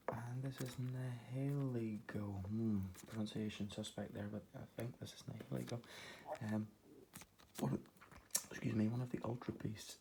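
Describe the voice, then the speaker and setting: A quiet, somewhat breathy male voice with a dark, mellow tone. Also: ordinary pitch variation, fairly slow pace. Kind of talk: Pokémon card unboxing talk to camera. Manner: quiet, low voice; hesitant, many fillers.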